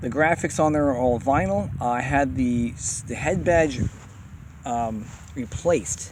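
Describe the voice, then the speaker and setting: A man speaks at a medium pitch with lively intonation. His delivery has long, frequent pauses. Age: 40s. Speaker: bike customizer showing his bikes. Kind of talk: casual show-and-tell video. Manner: fast; mumbling at times.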